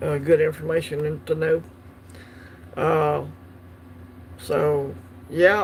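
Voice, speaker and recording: A man with a Southern US accent speaks very slowly at a fairly high pitch. His intonation is monotone and flat, with long, frequent pauses. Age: 50s. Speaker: coin collecting livestream host. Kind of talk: casual livestream chat. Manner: hesitant, many fillers.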